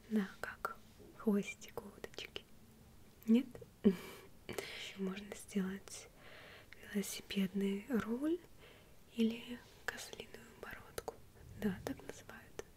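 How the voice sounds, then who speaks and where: A woman whispers very slowly with long, frequent pauses and big swings in loudness. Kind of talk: soft-spoken role-play chat. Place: home room.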